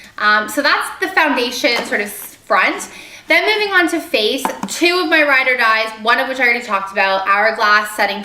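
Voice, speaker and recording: A woman's lively intonation amid noticeable background noise and audible room echo. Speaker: beauty vlogger. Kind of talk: product haul video. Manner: fast; casual with filler ums.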